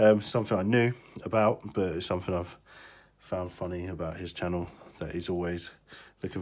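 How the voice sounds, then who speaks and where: A man with a British accent talks at a fairly quick pace. His pitch is very deep and low, and his intonation is fairly even. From UK. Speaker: hobbyist electronics repairer. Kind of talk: tutorial. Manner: casual, hesitant with fillers.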